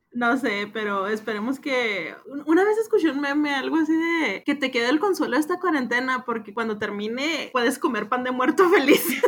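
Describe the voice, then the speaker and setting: A woman with a Mexican accent and a high pitch, at a moderate pace with lively intonation and hardly any pauses, over noticeable background noise. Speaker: literature podcast co-host. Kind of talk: casual chat about a book.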